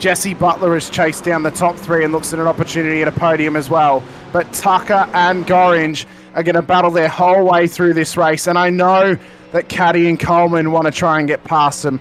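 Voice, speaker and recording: Against noticeable background noise, a man speaks at a high pitch and fairly quick pace, with monotone, flat intonation and very even loudness. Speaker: sim racing commentator. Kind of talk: live commentary. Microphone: static, mic crackles from loud speech.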